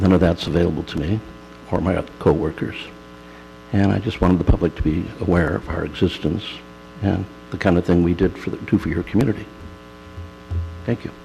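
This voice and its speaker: A man with a very deep, low pitch speaks at a fairly quick pace with ordinary pitch variation and long, frequent pauses. Noticeable background noise runs underneath. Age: 60s. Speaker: in-home care worker making public comment. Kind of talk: public comment at county board meeting.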